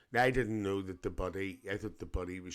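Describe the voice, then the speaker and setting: In a Northern Irish accent, a man talks at a fairly quick pace with a very deep, low pitch and fairly even intonation, recorded very cleanly against a silent background. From Northern Ireland, Lisburn near Belfast. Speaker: reaction video host. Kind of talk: casual reaction commentary.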